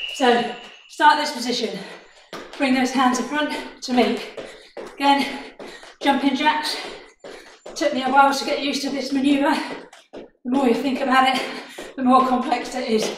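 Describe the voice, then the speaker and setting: A woman talks at a moderate pace and high pitch, with monotone, flat intonation and long, frequent pauses. Audible room echo and noticeable background noise surround her voice. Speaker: fitness instructor. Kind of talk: workout instruction. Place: home room. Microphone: camera far.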